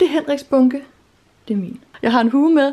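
This woman's intonation is lively. She talks very fast. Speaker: vlogger. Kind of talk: casual vlog chat. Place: home room. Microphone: phone near.

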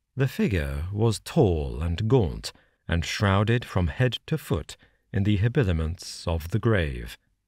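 On a very clean recording with a silent background, a man with a very deep, low pitch speaks in a dramatic, solemn tone, somewhat breathy, at a fairly slow pace with very wide pitch swings. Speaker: audiobook narrator. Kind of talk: dramatic literary audiobook narration of a gothic horror tale. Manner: measured, darkly dramatic storytelling, dwelling on grisly imagery; building suspense with slow, solemn emphasis.

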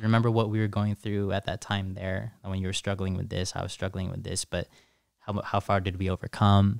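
Over a quiet background with a dry sound and no echo, a man talks at a fairly quick pace in a fairly low pitch with monotone, flat intonation. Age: 20s. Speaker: content creator and coach; content creator, coach. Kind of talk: casual chat. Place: studio. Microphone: studio mic.

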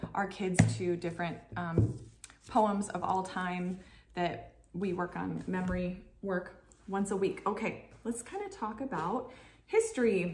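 Against light background noise, a woman in a normal speaking voice talks at medium pitch and a fairly slow pace with fairly even intonation. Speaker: homeschooling parent vlogger. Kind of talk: casual tutorial vlog. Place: kitchen. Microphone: camera far.

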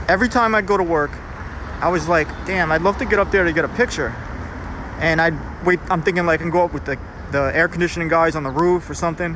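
Delivered at a very fast pace, the speech sounds dry with no echo against noticeable background noise. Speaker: graffiti tour narrator. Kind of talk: casual vlog chat. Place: street. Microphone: phone near.

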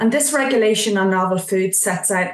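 A somewhat breathy woman with an Irish accent, audible room echo and a quiet background. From Ireland. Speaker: nutrition scientist, regulatory consultant. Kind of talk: webinar presentation. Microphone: video call.

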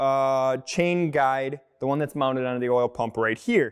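The pace from this man is fairly slow. Behind him, it stays quiet. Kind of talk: tutorial. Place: workshop.

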